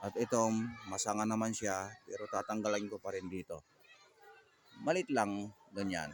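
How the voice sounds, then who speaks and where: A man with a fairly low pitch at a moderate pace, long pauses coming often, amid noticeable background noise. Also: ordinary pitch variation. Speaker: vlogger and gardener. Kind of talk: casual vlog narration. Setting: outdoors in a garden.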